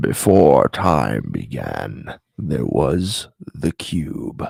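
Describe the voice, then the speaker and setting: A man puts on a character voice with a very deep, low pitch. He speaks at a very slow pace. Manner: epic, grave.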